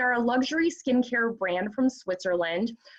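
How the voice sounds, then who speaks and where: With a Midwestern American accent, a woman speaks at a moderate pace in a high pitch with lively intonation. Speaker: skincare training director. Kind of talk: panel discussion.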